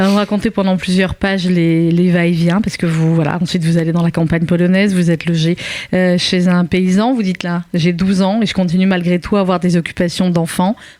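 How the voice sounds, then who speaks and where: A woman's loudness holds very even while her intonation stays monotone and flat. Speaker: radio host. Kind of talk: radio interview questions.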